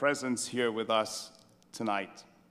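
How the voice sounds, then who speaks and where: With a bright, sharp tone, a man speaks at a very slow pace. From New York, Brooklyn. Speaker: priest, head of religious order. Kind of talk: welcome speech. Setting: stage with audience at gala. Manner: hesitant, many uh fillers.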